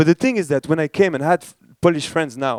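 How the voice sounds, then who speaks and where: A man with a French accent and ordinary pitch variation, on a very clean recording with a silent background, dry and close with no echo. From France. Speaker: startup ecosystem director, keynote speaker. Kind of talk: conference keynote. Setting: stage with audience. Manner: casual, many fillers and restarts.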